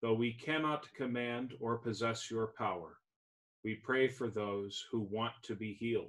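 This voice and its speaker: Speech comes at a fairly slow pace. The background is quiet. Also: man. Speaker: pastor leading service. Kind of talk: liturgical reading and prayer.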